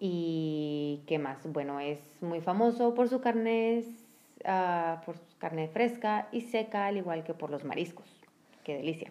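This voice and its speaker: At a very slow pace, a woman speaks with a fairly low pitch, lively intonation and a dark, mellow tone. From northern Mexico (San Luis Potosí, Monterrey). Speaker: podcast co-host. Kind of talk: casual chat.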